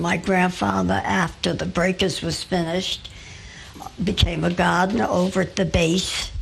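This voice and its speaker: A woman speaks with an American accent at a moderate pace as noticeable background noise plays behind her. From Newport, Rhode Island, US (Fifth Ward). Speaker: local elder recounting family history. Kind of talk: oral history interview. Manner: halting, with many fillers.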